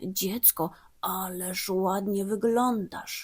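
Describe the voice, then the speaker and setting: Using a put-on character voice, a woman speaks very slowly at medium pitch with fairly even intonation. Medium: read story. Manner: falsely sweet, cunning.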